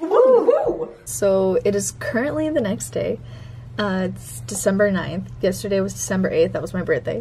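Noticeable background noise is present throughout. The woman speaking keeps a moderate pace. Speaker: vlogger. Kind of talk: casual vlog chat. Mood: excited, upbeat. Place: home room. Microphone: phone near.

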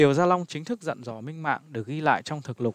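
An unremarkable speaking voice comes through with ordinary pitch variation. The sound is dry and close, with no echo. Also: man. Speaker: narrator reading a history book. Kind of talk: reading aloud. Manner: formal.

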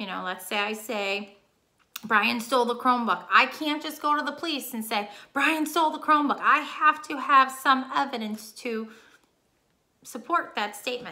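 Her voice high-pitched and her intonation lively, a woman speaks at a moderate pace with big swings in loudness. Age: 30s. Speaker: teacher. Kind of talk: reading lesson for pupils. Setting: recorded video lesson. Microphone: webcam.

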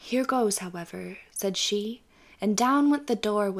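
An unforced reading voice is heard. It reads the text through.

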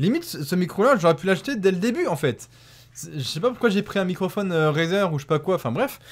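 The man's pitch is high and swings very widely. He talks at a very fast pace. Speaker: YouTuber; gamer youtuber. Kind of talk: unboxing and product test video. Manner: hesitant, many fillers; excited exclamations. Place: home room. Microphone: new USB condenser microphone; studio mic.

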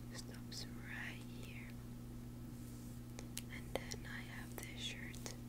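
A woman's soft-spoken whispering at a very slow pace over loud background noise. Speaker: ASMR creator. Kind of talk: soft ASMR show-and-tell. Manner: soft ASMR whisper, close to mic. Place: home room. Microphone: earbuds.

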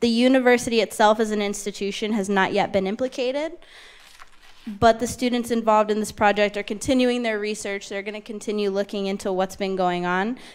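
A woman with an unremarkable speaking voice talks at a fairly high pitch with fairly even intonation. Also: fairly quick pace. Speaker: panel moderator. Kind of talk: panel moderation. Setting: stage with audience. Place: hall. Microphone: handheld.

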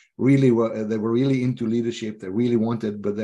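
A man speaks in a dark, mellow tone with a Norwegian accent. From Norway. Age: 50s. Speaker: leadership coach. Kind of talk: interview. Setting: video call. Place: home room. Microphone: video call.

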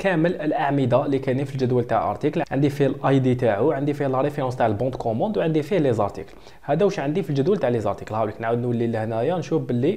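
A man with a fairly high voice speaks at a very fast pace, with hardly any pauses. His loudness stays very even. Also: ordinary pitch variation. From Algeria. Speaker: software tutor. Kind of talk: tutorial.

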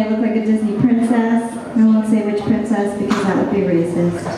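Heard through strong room echo and light background noise, a woman with an American accent speaks at a fairly high pitch with fairly even intonation. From Virginia, US East Coast. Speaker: stand-up comedian. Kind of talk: stand-up. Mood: wry, self-deprecating humor. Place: hall.

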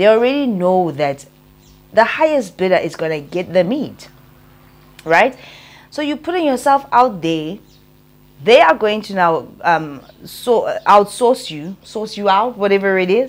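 A woman's fairly slow speech, with very wide swings in pitch and long, frequent pauses. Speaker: vlogger. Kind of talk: casual vlog commentary. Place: home room. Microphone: lapel.

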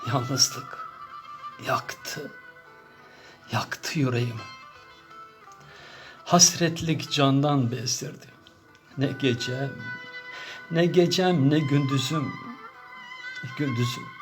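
A man at a very slow pace, with long, frequent pauses and music in the background. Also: fairly high pitch for a man, ordinary pitch variation. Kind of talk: poetry reading. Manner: emotional, repetitive.

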